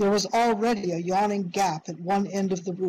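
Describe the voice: The clip is plain reading aloud.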